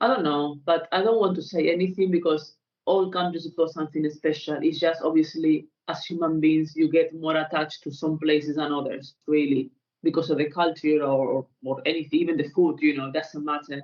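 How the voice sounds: A woman talks at a moderate pace in a low pitch for a woman. Her intonation stays fairly even.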